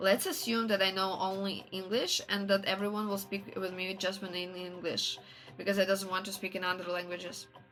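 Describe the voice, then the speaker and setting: At a moderate pace, a woman speaks in a Russian accent with monotone, flat intonation while music plays in the background. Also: medium pitch for a woman. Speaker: streamer. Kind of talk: casual chat. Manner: halting.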